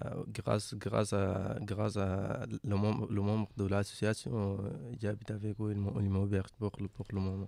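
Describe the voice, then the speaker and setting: A man talks in a fairly low pitch at a fairly slow pace. His intonation is monotone and flat. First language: not French (speaking French). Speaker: migrant interviewee. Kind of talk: interview. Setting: radio studio in a hostel. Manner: halting.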